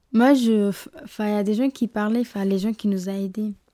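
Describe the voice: The tone is dark and mellow, with fairly even intonation. The pace is fairly quick. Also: woman, medium pitch for a woman.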